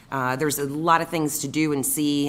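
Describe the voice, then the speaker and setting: A woman talks at a moderate speed, and room echo can be heard around her. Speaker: city council member. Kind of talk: council meeting report. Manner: hesitant, filler-heavy.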